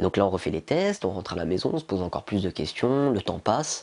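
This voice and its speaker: A man talks at a very fast pace, his fairly low voice moving with lively intonation. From eastern France, near Besançon. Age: 20s. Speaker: lung transplant patient. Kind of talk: testimony. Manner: halting, many hesitations.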